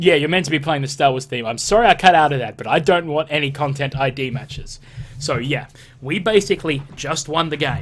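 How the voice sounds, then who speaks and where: A man's fairly high-pitched voice with ordinary pitch variation at a fairly quick pace. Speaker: let's play gamer. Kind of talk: gameplay commentary. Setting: home recording at computer. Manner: loud.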